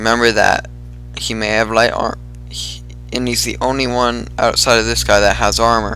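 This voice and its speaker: Over music in the background, a man speaks at a moderate pace in a fairly low voice with very wide pitch swings and audible room echo. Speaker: gaming YouTuber. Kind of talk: gameplay commentary.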